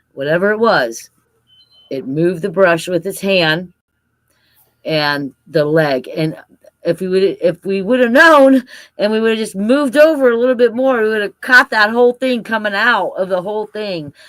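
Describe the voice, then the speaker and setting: On a very clean recording with a silent background, a woman of medium pitch speaks at a moderate pace with very wide pitch swings. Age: 60s. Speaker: cryptid field researcher. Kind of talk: casual chat.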